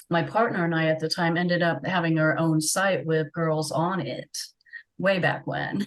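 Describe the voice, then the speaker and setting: Speaking at a moderate pace with an American accent, a woman keeps a fairly low pitch and fairly even intonation. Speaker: webcam model. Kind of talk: interview.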